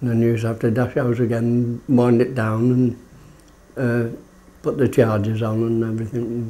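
The speaker is a man with a dark, mellow tone. His intonation is monotone and flat. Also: moderate pace. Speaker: retired lighthouse keeper. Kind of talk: oral history interview. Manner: halting. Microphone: phone near.

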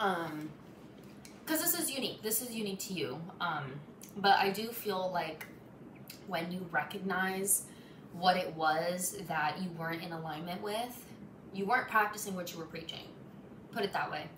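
Amid noticeable background noise, a woman speaks at medium pitch with ordinary pitch variation and long, frequent pauses. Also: moderate pace. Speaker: tarot reader. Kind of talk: tarot reading monologue. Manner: halting, stumbling over words. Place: home room. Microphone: phone near.

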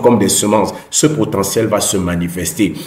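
A somewhat breathy man at a fairly slow pace, with audible room echo. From Cameroon. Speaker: personal development YouTuber. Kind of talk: motivational talk. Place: home room. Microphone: earbuds.

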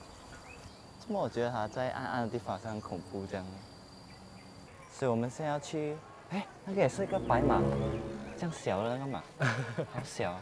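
Clear music plays in the background. The speaking pace is moderate. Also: man. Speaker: vlogger. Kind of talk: casual vlog chat. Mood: cheerful, amused. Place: street. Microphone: phone near.

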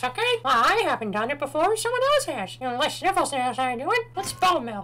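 Using a put-on character voice, a man talks at a fairly quick pace with extremely high pitch, with clear background noise behind him. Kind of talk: comic let's-play commentary. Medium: game stream. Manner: brash, irritable, loud.

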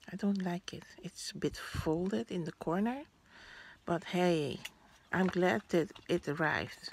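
A woman with a Dutch accent, fairly low in pitch, at a fairly slow pace with ordinary pitch variation. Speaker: vlogger. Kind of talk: unboxing vlog. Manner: halting.

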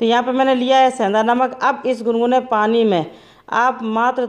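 The pace of this woman's speech is fairly slow. Behind her, the background stays quiet. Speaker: home remedy vlogger. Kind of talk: tutorial. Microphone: phone near.

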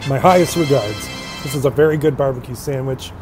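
Over clear music in the background, a man speaks at a fairly quick pace with fairly even intonation. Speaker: food reviewer. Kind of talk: casual vlog chat. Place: street. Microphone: earbuds.

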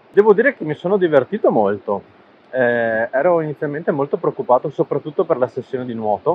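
This man's pace is fairly quick. His voice sounds dry, without echo. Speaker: amateur triathlete vlogger. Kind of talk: casual vlog chat. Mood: reflective, pleased. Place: forest. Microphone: lapel.

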